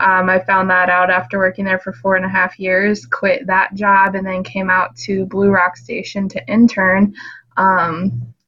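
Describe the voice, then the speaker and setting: This is an ordinary speaking voice at a moderate pace, with lively intonation. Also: woman. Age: 20s. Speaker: dog sitting business owner. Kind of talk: casual interview.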